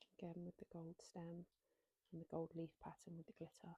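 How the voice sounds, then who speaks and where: Soft-spoken and somewhat breathy, a woman talks at a moderate pace with a fairly low pitch and a dark, mellow tone, in a dry, close sound with no echo. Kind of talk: ASMR show and tell.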